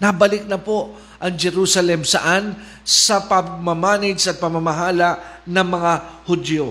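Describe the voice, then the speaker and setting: Over noticeable background noise, a man with a high pitch speaks at a fairly slow pace with fairly even intonation. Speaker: preacher. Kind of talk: sermon. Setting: online livestream.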